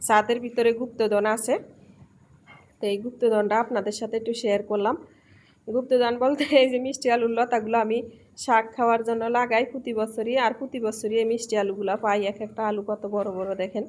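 A woman with a fairly high pitch speaks in a monotone, flat way. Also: very clean recording, silent background. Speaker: lifestyle vlogger. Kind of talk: casual vlog talk.

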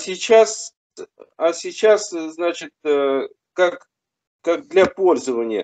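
The background stays quiet while a man talks very slowly. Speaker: new believer; religious teacher answering questions. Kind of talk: question to a religious teacher. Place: home room. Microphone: video call.

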